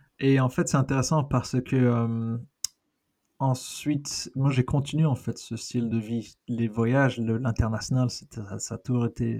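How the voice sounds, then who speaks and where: A man's voice has a dark, mellow tone and a medium pitch. He speaks at a fairly slow pace with fairly even intonation. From raised in many countries (diplomat family), born in Argentina. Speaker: researcher and NGO director. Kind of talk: casual interview chat.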